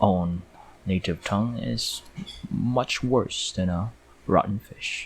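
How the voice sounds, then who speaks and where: Speaking with a slight Filipino accent, a man has a fairly low pitch and lively intonation, with a somewhat breathy tone. He leaves long, frequent pauses. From Philippines. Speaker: 3D artist and YouTuber. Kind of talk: live commentary while working. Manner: casual, hesitant with fillers.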